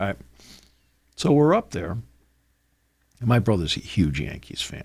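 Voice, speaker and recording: This man speaks at a moderate pace in a fairly low register, his voice swinging very widely in pitch and showing vocal fry. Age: 60s. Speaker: sports radio host and play-by-play broadcaster. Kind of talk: casual chat. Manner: animated.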